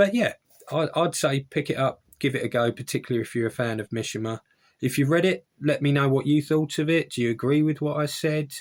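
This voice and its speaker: On a very clean recording with a silent background, a man with a fairly high pitch speaks at a fairly quick pace. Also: ordinary pitch variation. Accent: Essex. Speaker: book reviewer. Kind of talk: casual book review video. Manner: casual, with hesitations.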